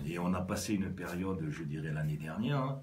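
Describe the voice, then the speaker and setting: A man's very deep, low voice at a moderate pace, with noticeable background noise and audible room echo. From southwest France, Lot-et-Garonne. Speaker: business executive and rugby club president. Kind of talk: radio interview. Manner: halting, many hesitations.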